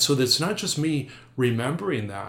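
This man's pitch rises and falls in an ordinary way. His voice carries a somewhat breathy edge. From North Dakota. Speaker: Jesuit priest. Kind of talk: interview.

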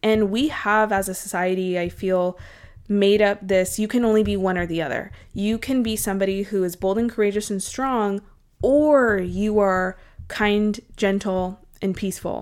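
A woman speaks in an ordinary speaking voice at a medium pitch with fairly even intonation. The pace is moderate, and the recording is very clean with a silent background. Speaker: podcast host, dietitian. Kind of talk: solo podcast monologue, encouraging talk.

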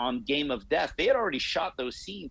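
A man talks in an ordinary speaking voice. His pitch is fairly high and his pace is moderate. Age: 40s. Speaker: martial arts instructor and podcaster. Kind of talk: casual interview.

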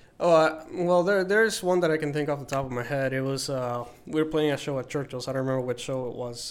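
Over noticeable background noise, a man with a fairly high voice speaks very fast, with ordinary pitch variation. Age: 20s. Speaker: band guitarist. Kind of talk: casual chat.

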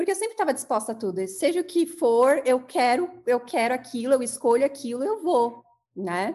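A woman speaks with a high pitch at a fairly quick pace. Her pitch swings very widely. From São Bernardo do Campo, São Paulo, Brazil. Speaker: therapist, former athlete. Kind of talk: interview.

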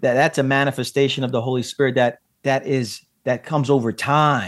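In a very clean recording with a silent background, a man uses a normal speaking voice at medium pitch with fairly even intonation. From Brooklyn, New York, of Puerto Rican descent. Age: 40s. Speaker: pastor and author. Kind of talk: podcast interview.

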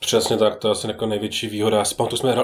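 A man talks at a very fast pace. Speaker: board game enthusiast. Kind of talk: casual chat.

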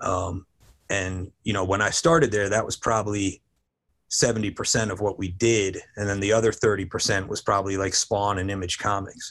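A man with an American accent speaks in a normal speaking voice, pitched fairly low, with fairly even intonation at a moderate pace. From New Jersey. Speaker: toy company creative director. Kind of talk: interview.

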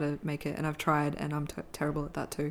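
In an Australian accent, a woman speaks with a very deep, low voice. The recording is very clean, with a silent background. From Australia, Brisbane. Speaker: filmmaker. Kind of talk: casual interview.

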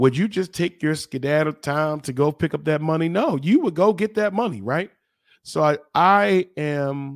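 On a very clean recording with a silent background and a dry, close sound with no echo, a man talks at a moderate pace with a fairly high pitch, lively intonation and an energetic tone. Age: 40s. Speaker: podcast host and mindset coach. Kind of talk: motivational pep talk, preacher-like self-care exhortation to listeners. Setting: studio. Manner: energetic, emphatic and repetitive, urging directly to listener.

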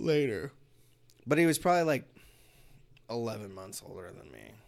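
There's vocal fry in this man's medium-pitched voice. He talks at a fairly quick pace. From East Los Angeles, US. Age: 30s. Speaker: podcast guest. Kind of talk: casual chat.

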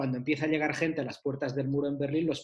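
A man speaks at a fairly high pitch in a monotone, flat intonation. His voice is somewhat breathy. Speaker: author discussing his book about the 90s. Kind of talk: casual chat.

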